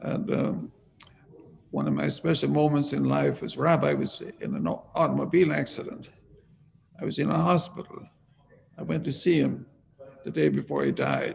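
A man with an Irish accent speaks with long, frequent pauses. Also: moderate pace. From Ireland. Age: 80s+. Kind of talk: interview.

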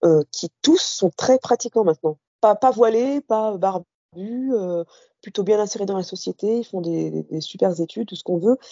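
Lively intonation marks this fairly slow delivery. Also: woman. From Algeria, Oran, Kabyle parents, raised in France from early childhood. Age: 40s. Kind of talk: personal testimony interview. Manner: halting, many hesitations.

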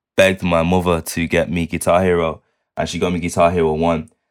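A man's very deep, low voice in a Manchester accent, with monotone, flat intonation at a moderate pace, in a very clean recording with a silent background. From Manchester, England. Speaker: music producer and multi-instrumentalist. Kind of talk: casual interview chat.

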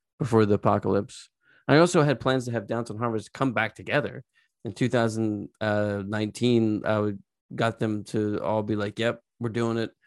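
On a very clean recording with a silent background, a man with an American accent and a normal speaking voice talks at a moderate pace, fairly low in pitch, with fairly even intonation. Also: dry, close sound with no echo. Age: 40s. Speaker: podcast host and musician. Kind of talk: casual chat.

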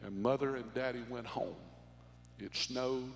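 A man is talking. His speech carries audible room echo. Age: 50s. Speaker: pastor. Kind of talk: sermon. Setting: church.

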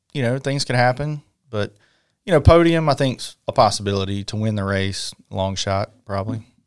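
This man has an unremarkable speaking voice at a medium pitch. He talks at a moderate pace with lively intonation. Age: 40s. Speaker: RC car racer and team manager. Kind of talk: casual chat. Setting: at a race event.

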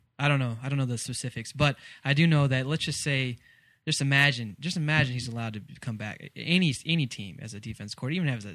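In a very clean recording with a silent background, a man with an American accent speaks at a very fast pace with big swings in loudness. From Texas. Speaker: sports podcast host. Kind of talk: casual chat.

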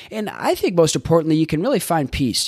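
An enthusiastic man with an American accent at a very fast pace. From Boston. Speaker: life coach and podcast host. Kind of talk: solo podcast monologue, coaching talk. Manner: fast talker; casual, enthusiastic, with filler words.

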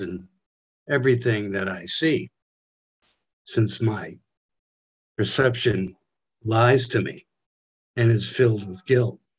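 The voice is somewhat breathy and very slow. Its intonation stays fairly even. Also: man. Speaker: study group participant.

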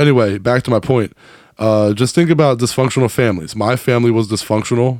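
An animated man at a fairly quick pace, on a very clean recording with a silent background. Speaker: podcast host. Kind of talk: casual comedic chat and interview. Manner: animated, joking.

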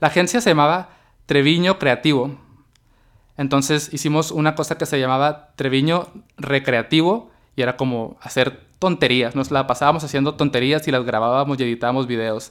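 Moderate pace and ordinary pitch variation mark this man's fairly high, normal speaking voice. The recording is very clean, with a silent background. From Mexico, Baja California (Mexicali). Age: 30s. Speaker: podcast host. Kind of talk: solo podcast monologue. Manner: casual, conversational.

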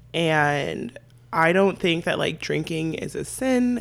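A woman with an American accent, very wide pitch swings, and a fairly slow pace. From San Diego, California. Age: 20s. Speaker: podcast guest. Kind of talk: casual chat.

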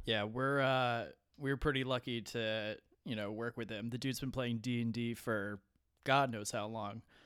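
On a very clean recording with a silent background, a man speaks at a moderate pace and medium pitch in a monotone, flat intonation. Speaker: podcast co-host and player. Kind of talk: casual chat.

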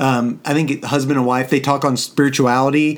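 He has an unremarkable speaking voice, pitched fairly high. His intonation stays fairly even. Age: 50s. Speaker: podcast co-host, father. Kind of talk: casual chat.

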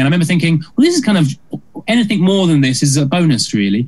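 A man's somewhat breathy voice with a British accent and lively intonation. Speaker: musical comedian. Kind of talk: casual interview chat. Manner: fast talker.

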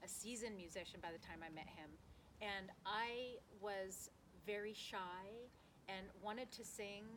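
Audible room echo around a woman's medium-pitched voice, with ordinary pitch variation, at a fairly slow pace. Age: 50s. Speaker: singer. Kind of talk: casual chat. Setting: at home.

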